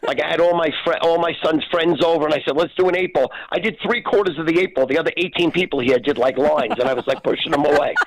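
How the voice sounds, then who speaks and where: The speech comes at a very fast pace with hardly any pauses. Noticeable background noise is present. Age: 60s. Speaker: party personality guest. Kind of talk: casual chat.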